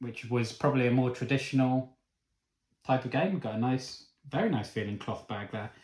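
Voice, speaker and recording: A man with a Cornish accent speaks at a fairly quick pace, somewhat breathy, with ordinary pitch variation, against a quiet background with audible room echo. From Cornwall, England. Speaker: board game reviewer. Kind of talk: unboxing video. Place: home room. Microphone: camera far.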